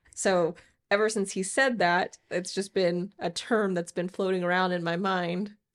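Recorded very cleanly with a silent background, a woman with a plain, everyday voice and medium pitch speaks at a fairly slow pace with fairly even intonation. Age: 20s. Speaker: podcast co-host, engaged partner. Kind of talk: casual chat.

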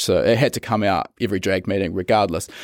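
A man with a New Zealand accent in a very clean recording with a silent background and a dry, close sound with no echo. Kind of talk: interview conversation.

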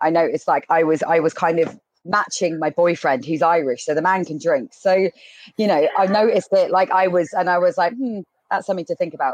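Recorded with a dry, close sound and no echo, a woman uses an ordinary speaking voice at a fairly low pitch, talking at a fairly quick pace with ordinary pitch variation. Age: 30s. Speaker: drinks industry professional, former bartender. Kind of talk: panel discussion.

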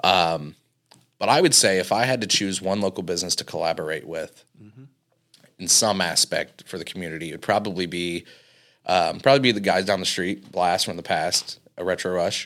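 A man speaks in an American accent at a very deep, low pitch. The recording is very clean, with a silent background. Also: ordinary pitch variation, moderate pace. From Indiana, US Midwest. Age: 20s. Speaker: arcade and cafe owner. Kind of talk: casual interview.

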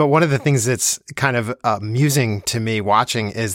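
With an American accent and an ordinary speaking voice, a man talks at a moderate pace and medium pitch, with ordinary pitch variation. The very clean recording has a silent background and a dry, close sound with no echo. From New Jersey, Plainfield. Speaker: podcast host and orchestral cellist. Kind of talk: interview.

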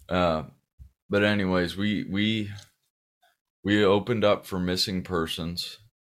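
Speaking slowly-ish with a Californian accent, a man uses fairly even intonation and a fairly low pitch, leaving long, frequent pauses. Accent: Californian American. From Southern California. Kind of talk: interview. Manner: halting, with many fillers.

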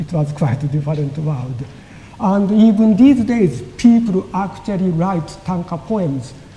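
A high-pitched man talks with lively intonation over noticeable background noise. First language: Japanese. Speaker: lecturer on Japanese poetry. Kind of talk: audience Q&A; lecture. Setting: lecture hall with audience.

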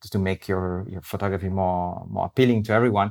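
With an Italian accent, a man talks in a fairly low pitch, his intonation monotone and flat. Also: very clean recording, silent background. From Italy, Rome. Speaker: wildlife photographer. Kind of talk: interview conversation. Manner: halting.

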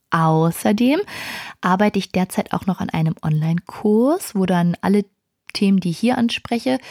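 A woman with a dark, mellow tone speaks at a moderate pace. The sound is dry and close, with no echo. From Berlin, Germany. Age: 20s. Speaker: podcast host, music manager. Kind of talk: casual solo podcast. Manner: frequent filler hesitations.

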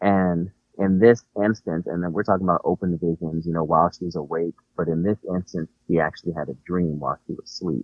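Over music in the background, a man with a very deep, low pitch talks at a fairly quick pace with fairly even intonation. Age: 40s. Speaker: minister. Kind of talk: casual religious discussion.

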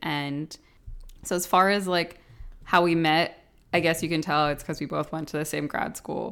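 A woman with an unremarkable speaking voice, fairly low pitch and fairly even intonation, in a very clean recording with a silent background. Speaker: podcast co-host, architect. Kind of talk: casual chat. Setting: small apartment.

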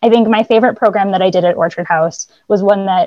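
A woman with an American accent talks very fast at a medium pitch. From Boston area, US. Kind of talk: casual interview.

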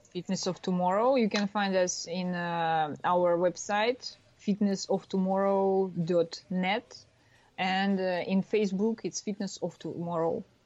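A woman speaks at a fairly slow pace with a medium pitch and fairly even intonation against a quiet background. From Russia. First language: Russian. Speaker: former snowboarder, tech startup founder. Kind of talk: interview. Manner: halting.

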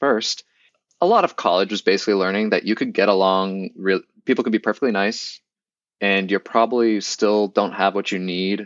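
An unremarkable speaking voice from a man with an American accent, fairly low in pitch, at a moderate pace with fairly even intonation. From US Northeast (Boston). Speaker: engineer and biologist. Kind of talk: casual chat.

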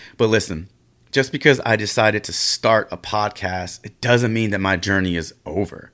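On a very clean recording with a silent background, a man speaks in an animated tone at a moderate pace and a fairly low pitch. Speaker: podcast host. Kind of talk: solo podcast monologue. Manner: loud.

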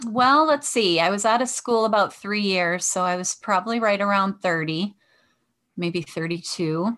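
A woman with a Michigan accent and a bright, sharp tone, at a moderate pace with ordinary pitch variation against a quiet background. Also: medium pitch for a woman. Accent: Michigan (Inland North) American. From Michigan, west side of Detroit. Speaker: veterinarian and life coach. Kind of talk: interview.

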